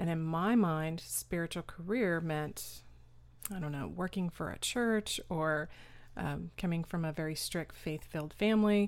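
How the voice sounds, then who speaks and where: On a very clean recording with a silent background, a woman has an ordinary speaking voice with an American accent. She talks at a fairly slow pace and a fairly low pitch, with ordinary pitch variation. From Austin, Texas. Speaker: caregiver and author. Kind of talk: interview.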